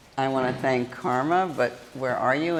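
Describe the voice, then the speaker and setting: In a room with audible echo, a woman speaks at a moderate pace with a very deep, low pitch and ordinary pitch variation. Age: 70s. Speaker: conference speaker, prison reform advocate. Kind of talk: conference talk.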